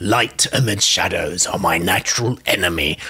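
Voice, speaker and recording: A put-on character voice from a man, fairly low in pitch, dramatic and theatrical in tone. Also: moderate pace. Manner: dramatic, theatrical.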